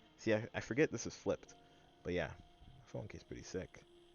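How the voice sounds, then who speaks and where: A man speaks with music playing in the background. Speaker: vlogger. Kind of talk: casual monologue to camera. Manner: halting; rambling with many fillers.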